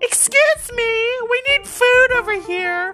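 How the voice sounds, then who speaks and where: An extremely high, squeaky put-on character voice at a fairly slow pace. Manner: demanding, entitled.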